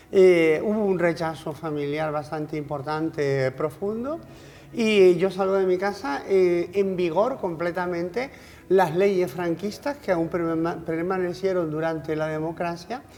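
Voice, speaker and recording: An unremarkable speaking voice from a woman, fairly low in pitch, with ordinary pitch variation at a fairly slow pace. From Canary Islands, Spain. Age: 60s. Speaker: politician, former regional MP. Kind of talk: TV interview. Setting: TV studio.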